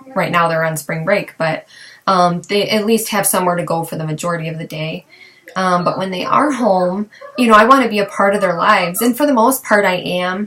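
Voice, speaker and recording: Noticeable background noise beneath fairly quick talk with ordinary pitch variation. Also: woman, medium pitch for a woman. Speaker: mother of three boys. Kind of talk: casual talk to camera. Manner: hesitant, conversational.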